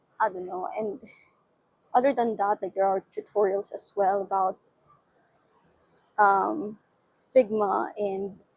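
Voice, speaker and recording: A woman with a non-native accent at a medium pitch, fairly slow, with fairly even intonation, big swings in loudness, and long, frequent pauses. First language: not English. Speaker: UI/UX designer and vlogger. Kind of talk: casual vlog monologue. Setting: outdoors on a balcony at night. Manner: hesitant, many fillers and restarts.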